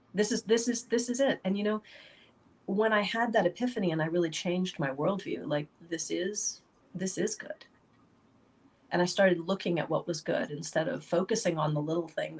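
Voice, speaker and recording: Somewhat breathy, the voice goes at a fairly quick clip, its pitch varying in an ordinary way. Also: woman. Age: 40s. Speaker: author. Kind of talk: casual chat.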